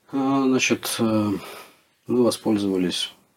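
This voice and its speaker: A man's fairly low-pitched voice. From Russia. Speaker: relocated expat. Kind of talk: interview.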